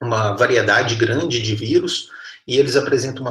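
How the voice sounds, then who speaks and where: This man speaks with lively intonation. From Minas Gerais, Brazil (Patos de Minas). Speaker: university professor. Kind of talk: lecture.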